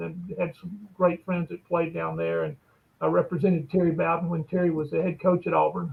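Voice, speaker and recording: A man with an Alabama accent at a fairly quick pace. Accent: US Southern (Alabama). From Alabama, Bessemer. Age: 60s. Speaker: lawyer and sports agent. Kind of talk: interview conversation.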